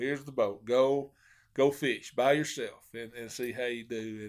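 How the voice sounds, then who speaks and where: A man with a Southern US accent, medium-pitched with fairly even intonation and big swings in loudness, on a very clean recording with a silent background. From Arkansas (Hot Springs). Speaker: professional bass angler. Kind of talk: casual interview.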